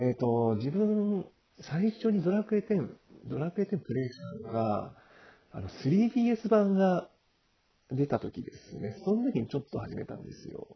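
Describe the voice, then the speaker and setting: Speaking at a fairly slow pace, a man with a high voice sounds nervous, his pitch swinging very widely and his loudness rising and falling sharply. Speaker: amateur podcast host and online gamer. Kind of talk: casual solo podcast monologue. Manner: halting, stumbling over words; hesitant with many fillers and nervous laughs.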